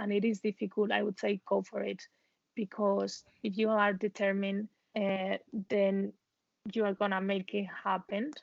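With a Spanish accent, a woman speaks at a fairly slow pace in a medium pitch with monotone, flat intonation, and the sound is dry and close with no echo. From Spain. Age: 20s. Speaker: expat professional. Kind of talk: interview.

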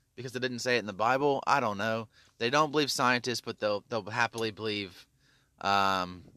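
The tone is bright and sharp, with a Tennessee accent and ordinary pitch variation. It is a very clean recording with a silent background and a dry, close sound with no echo. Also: man. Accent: Southern US (Tennessee). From US South, Memphis, Tennessee. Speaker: podcast host. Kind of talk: casual monologue rant. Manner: halting, many fillers.

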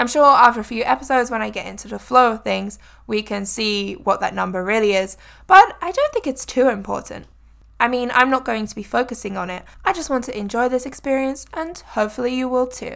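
With a high pitch and lively intonation, a woman talks at a fairly quick pace. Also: big swings in loudness, very clean recording, silent background. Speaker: English tutor and podcast host. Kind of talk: solo podcast monologue for English learners. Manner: natural regular speed.

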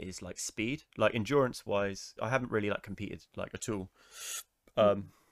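In a dry, close recording with no echo and a silent background, a man talks at a moderate pace with fairly low pitch and fairly even intonation. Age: 20s. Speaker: podcast host. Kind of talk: casual interview.

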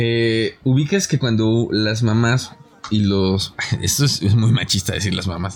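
Very slow speech in a Mexican accent, with ordinary pitch variation. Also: man, medium pitch for a man. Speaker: podcast host. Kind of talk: casual chat.

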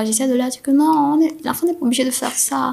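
Music plays behind the speech. A woman is talking. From Cameroon. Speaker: podcast guest. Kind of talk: personal testimony interview. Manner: halting.

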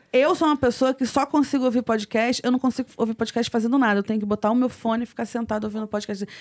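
With hardly any pauses, a woman speaks at a very fast pace in a fairly high pitch with fairly even intonation, the sound dry and close with no echo. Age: 30s. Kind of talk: casual chat.

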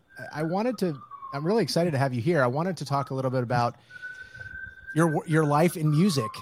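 A man's fairly high voice at a very fast pace, lively in intonation, broken by long, frequent pauses, over noticeable background noise. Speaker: podcast host. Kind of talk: casual interview.

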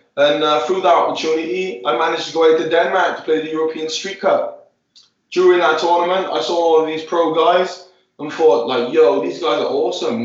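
Speaking at a fairly quick pace, a man with a high pitch shows ordinary pitch variation, and the room echo is audible. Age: 20s. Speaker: futsal player. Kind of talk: casual interview. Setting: sitting in an ice bath.

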